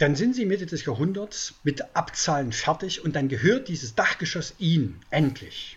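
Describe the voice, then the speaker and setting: At a moderate pace, a man speaks in a high pitch. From East Germany. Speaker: journalist and book author. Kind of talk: interview.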